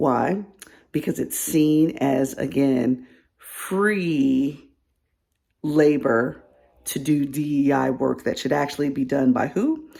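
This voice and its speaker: Very slowly, with long and frequent pauses, a soft-spoken woman talks in a very deep, low voice with ordinary pitch variation. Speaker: DEI consultant. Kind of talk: casual advice vlog.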